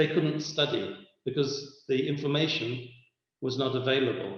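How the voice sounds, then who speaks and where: A somewhat breathy man's voice, fairly high in pitch, at a fairly slow pace, with audible room echo. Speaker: lecturer. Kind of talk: lecture.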